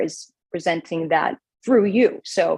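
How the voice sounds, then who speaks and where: This is a woman with a Chicago accent. Her pitch is medium. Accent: Chicago accent, noticeable. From Chicago area, Orland Park. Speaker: radio news anchor. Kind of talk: interview.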